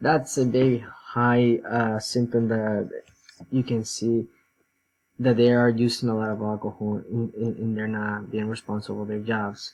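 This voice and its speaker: A man speaks with a non-native accent at a medium pitch. His delivery is monotone and flat, at a moderate pace. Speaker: student. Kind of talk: class presentation. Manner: halting, many fillers.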